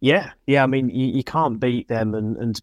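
Speaking at a moderate pace with fairly even intonation, a man with a southern English accent is heard in a very clean, dry, close recording with a silent background and no echo. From Hertfordshire, England (Hitchin). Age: 20s. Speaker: amateur motorcycle road racer. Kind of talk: interview. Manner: halting, many fillers.

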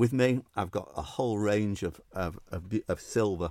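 This man speaks in a Manchester accent. His pitch is fairly low. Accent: Mancunian northern English. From Manchester, northern England. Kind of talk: interview chat. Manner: halting, hesitant with repeats.

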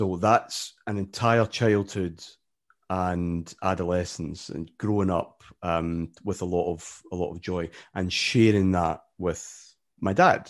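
A man speaks very slowly with a Glaswegian accent and a very deep, low pitch. His intonation stays fairly even, and the background is quiet. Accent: Glaswegian Scottish. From Scotland, Glasgow area. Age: 40s. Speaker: football podcaster and author. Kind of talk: casual interview. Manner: halting, many repetitions and fillers.

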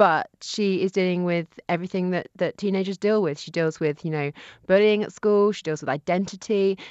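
A plain, everyday voice moves at a moderate pace with fairly even intonation. The sound is dry and close with no echo, over a quiet background. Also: woman, medium pitch for a woman. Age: 30s. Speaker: novelist. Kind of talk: radio interview.

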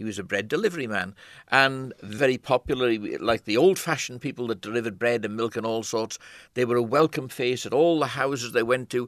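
Against a quiet background with a dry, close sound and no echo, a man in a Manx accent talks fairly quickly at a medium pitch with ordinary pitch variation. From Isle of Man. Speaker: photographer. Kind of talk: interview.

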